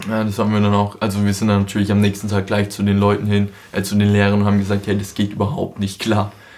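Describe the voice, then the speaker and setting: A man talks at a very fast pace with monotone, flat intonation. His pitch is fairly low and his loudness very even. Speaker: podcast host. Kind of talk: casual chat.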